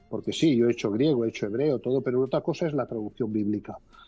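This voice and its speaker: Over music in the background, the speaker goes at a very fast pace with ordinary pitch variation. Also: man. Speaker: former Bible society director. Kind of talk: interview answer. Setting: phone line.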